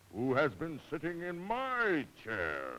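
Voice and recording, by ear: A man's put-on character voice, high in pitch and delivered at a very slow pace.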